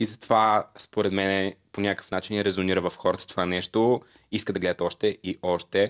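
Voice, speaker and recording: In an unremarkable speaking voice, a man talks at a moderate pace with fairly even intonation against a quiet background. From Bulgaria, Svilengrad (southeast); Bulgaria. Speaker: singer and TikTok creator; TikTok creator. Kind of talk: casual interview chat. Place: studio. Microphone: studio mic.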